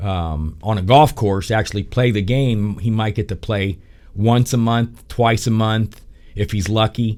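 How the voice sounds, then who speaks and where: Here is a man with an ordinary speaking voice and a fairly low pitch. He talks at a fairly slow pace with ordinary pitch variation. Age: 60s. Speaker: golf instructor and podcast host. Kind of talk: casual podcast monologue. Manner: conversational with frequent fillers.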